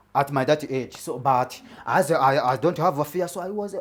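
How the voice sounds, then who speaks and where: A man's moderately paced speech with ordinary pitch variation. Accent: Rwandan. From Rwanda. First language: Kinyarwanda. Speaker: comedian. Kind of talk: stand-up. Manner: halting, many repetitions.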